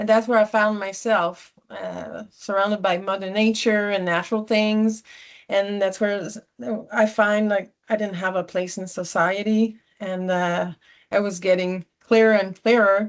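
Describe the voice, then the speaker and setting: Against a quiet background, a woman with a Quebec accent talks at a fairly slow pace, medium in pitch, in monotone, flat intonation. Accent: Québécois French accent in English. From Quebec (Sherbrooke). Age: 40s. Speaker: environmentalist speaker. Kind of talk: personal talk to small audience. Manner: halting, many fillers.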